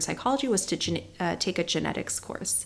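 A woman with a Californian accent at a fairly quick pace, in a very clean recording with a silent background. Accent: Californian American English. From Southern California (Palos Verdes). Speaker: dermatologist. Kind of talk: interview.

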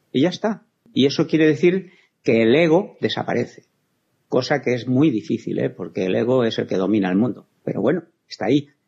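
Vocal fry runs through a man's dark, mellow, medium-pitched voice, which moves at a fairly quick pace with very wide pitch swings. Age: 60s. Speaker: spiritual healer. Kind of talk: interview.

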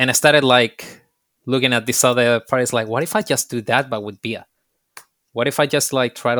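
At a very fast pace, a man with a Spanish accent speaks in a bright, sharp tone at medium pitch with fairly even intonation. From Chile. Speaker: bartender and beer specialist. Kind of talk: casual interview. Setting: video call.

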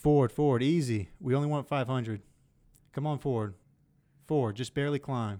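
A man with a Southern US accent speaks in a dark, mellow, medium-pitched voice with ordinary pitch variation. His pace is fairly slow, with long, frequent pauses. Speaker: podcast host. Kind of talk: casual chat. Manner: joking, profane.

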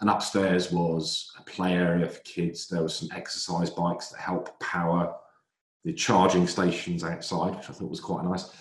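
A man with a southern English accent speaks at a moderate pace in a very deep, low voice. His intonation is monotone and flat, but his loudness swings widely. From southern England. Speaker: retail analyst. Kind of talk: casual chat.

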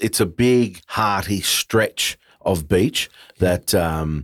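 Recorded very cleanly with a silent background and a dry, close sound with no echo, a man with an Australian accent speaks at a fairly low pitch. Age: 50s. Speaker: podcast host. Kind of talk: casual interview; scripted intro narration.

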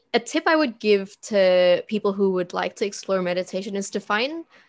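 A woman with an ordinary speaking voice talks at a moderate pace and medium pitch against a quiet background. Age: 20s. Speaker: marketing coordinator and freelance designer. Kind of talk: interview conversation.

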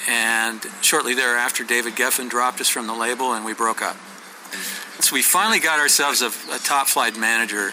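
A man with a medium-pitched voice talks at a fairly quick pace, his intonation fairly even, over noticeable background noise. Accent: American. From US Pacific Northwest (Oregon, Washington). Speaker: songwriter and author. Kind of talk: interview. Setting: sit-down interview.

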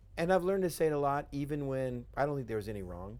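A man talks very fast in an animated tone. He has an American accent. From West Texas. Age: 40s. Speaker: pastor. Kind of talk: casual interview. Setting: studio with cameras.

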